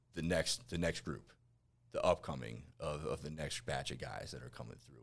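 Vocal fry runs through this moderate-paced speech in an American accent. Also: man. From northwest New Jersey. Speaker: patient coordinator, army veteran. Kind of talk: casual interview.

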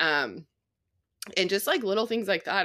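With an American accent, a woman talks at a fairly quick pace in a bright, sharp tone, captured in a very clean recording with a silent background. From Colorado. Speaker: outdoor adventure creator. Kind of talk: casual chat.

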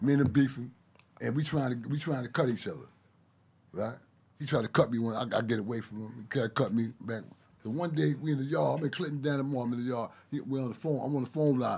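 A man with a Brooklyn accent, medium-pitched, talking at a very fast pace with ordinary pitch variation. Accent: Brooklyn New York. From Brooklyn, New York. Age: 60s. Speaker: ex-inmate guest. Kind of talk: casual chat.

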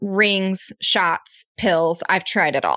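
The speaker is a woman with a medium pitch. She talks at a very slow pace. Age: 20s. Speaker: business co-founder and mom. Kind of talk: casual interview.

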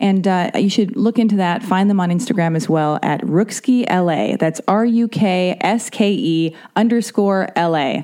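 A woman's fairly low voice, dark and mellow in tone, at a moderate pace with few pauses and ordinary pitch variation

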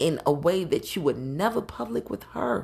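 A somewhat breathy woman's voice at a very deep, low pitch, on a very clean recording with a silent background. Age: 40s. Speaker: podcast host. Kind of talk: casual solo monologue. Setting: home recording while drinking. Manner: casual, conversational.

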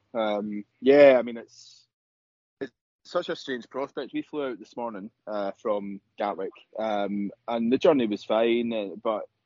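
A man speaks at a fairly slow pace with a fairly low pitch and a slightly mellow tone. The sound is dry and close, with no echo. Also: fairly even intonation.

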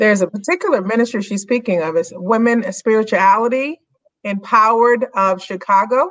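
A woman talks at a fairly quick pace in a plain, everyday voice. Her pitch is fairly high, with ordinary variation. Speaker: co-host, minister. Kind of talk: interview. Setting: video call.

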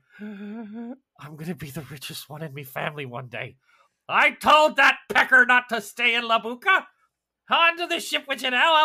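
A put-on character voice, raspy and wheezy, runs at a moderate pace with fairly high pitch and very wide pitch swings. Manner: excited.

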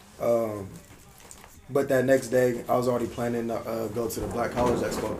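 With audible room echo, a man speaks at a moderate pace at a medium pitch. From Berkeley, California. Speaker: former college athlete, student. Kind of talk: casual chat.

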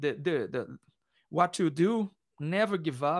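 A man with a Portuguese accent speaks very slowly in a raised, projected voice with a bright, sharp tone. His pitch swings very widely, and the sound is dry and close with no echo. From Brazil. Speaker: metal musician. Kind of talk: interview. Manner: halting.

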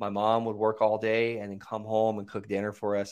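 A man speaks at a fairly quick pace with a fairly low pitch. The background is quiet. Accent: American. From Florida (Okeechobee), US South. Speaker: real estate investor and coach, army veteran. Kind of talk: interview, casual chat.

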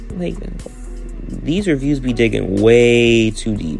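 A man speaks with music playing in the background. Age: 20s. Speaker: podcast host. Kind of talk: casual, chatty, slangy.

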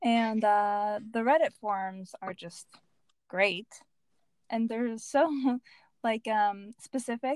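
A woman with a fairly high pitch speaks in an animated tone, in a very clean recording with a silent background and a dry, close sound with no echo. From United States. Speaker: muralist. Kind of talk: casual interview chat. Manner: animated, laughing often.

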